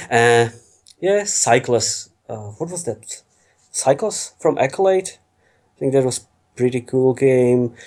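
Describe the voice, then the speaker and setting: With an Eastern European accent, a man speaks at a very slow pace and a medium pitch, his intonation lively and his pauses long and frequent. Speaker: FMV games enthusiast. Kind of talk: podcast interview.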